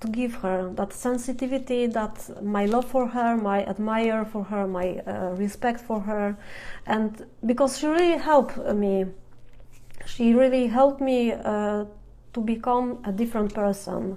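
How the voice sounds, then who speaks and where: Her pitch is fairly high and varies in an ordinary way. This woman talks at a fairly slow pace. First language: Polish. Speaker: fan blogger. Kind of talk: live Q&A stream. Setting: Instagram live video. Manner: halting.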